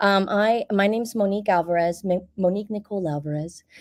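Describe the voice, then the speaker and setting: Speaking with an American accent, a woman keeps a medium pitch and fairly even intonation. Her pace is fairly quick. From Miami, Florida. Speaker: actor, writer and producer. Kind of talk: panel discussion. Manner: halting, many fillers and restarts.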